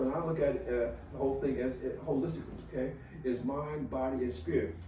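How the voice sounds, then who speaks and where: A man talks at a fairly quick pace. The recording carries noticeable background noise and audible room echo. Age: 70s. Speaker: retired college administrator, healthy aging guest. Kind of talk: podcast interview. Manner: animated.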